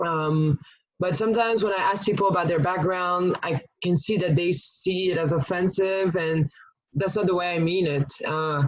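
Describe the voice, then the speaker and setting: A woman with a fairly low pitch and a slight French accent talks at a moderate pace, her intonation fairly even and her loudness very even. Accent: almost accent-free English, slight French. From France, Paris. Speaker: podcast guest. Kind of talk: casual chat. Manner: halting, many fillers.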